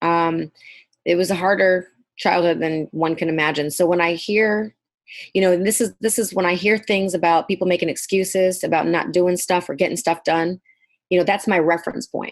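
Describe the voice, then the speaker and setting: At a moderate pace, a woman with a fairly low pitch speaks in an ordinary speaking voice, her loudness very even on a very clean recording with a silent background. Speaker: hairdresser and salon owner. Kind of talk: podcast interview.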